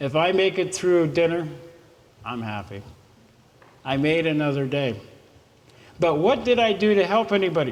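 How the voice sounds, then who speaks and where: Speaking at a moderate pace, a man with an American accent has a high pitch. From southern California. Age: 60s. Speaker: motivational speaker. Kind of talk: motivational speech. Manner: casual.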